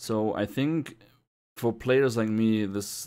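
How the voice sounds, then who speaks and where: A man with a German accent speaks in a very clean recording with a silent background. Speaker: gamer podcast guest. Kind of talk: casual chat. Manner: halting.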